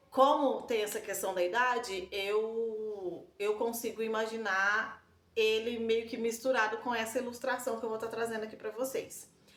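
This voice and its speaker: A woman's fairly high voice in a rural Brazilian accent, monotone and flat, at a moderate pace with hardly any pauses, over noticeable background noise. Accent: Brazilian countryside Portuguese. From Brazil, countryside. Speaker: book-series vlogger. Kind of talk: casual vlog talk. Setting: home balcony. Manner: hesitant, many fillers.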